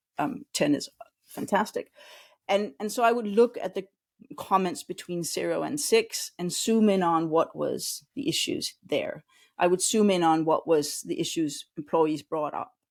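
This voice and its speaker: A woman speaks with a Danish accent at a fairly slow pace. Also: very clean recording, silent background. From Denmark. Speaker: customer experience consultant. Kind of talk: interview.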